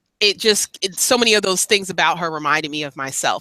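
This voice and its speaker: A woman with an American accent has an unremarkable speaking voice. She speaks at a fairly quick pace in a fairly low pitch. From California and US East Coast. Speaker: makeup vlogger. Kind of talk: casual chat.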